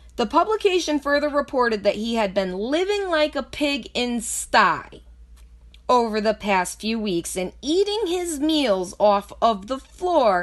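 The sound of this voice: Using big pitch swings, a woman talks at a fairly high pitch and a fairly slow pace.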